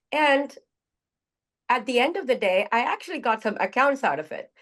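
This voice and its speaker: Against a quiet background, a woman with an Indian accent speaks at a moderate pace. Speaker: group participant sharing personal story. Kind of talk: personal testimony in group sharing. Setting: video call. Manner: halting.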